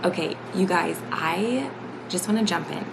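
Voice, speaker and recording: A quiet woman at a fairly slow pace, with ordinary pitch variation, audible room echo and noticeable background noise. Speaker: lifestyle vlogger. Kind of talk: casual talk to camera. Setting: at home. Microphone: quiet recording.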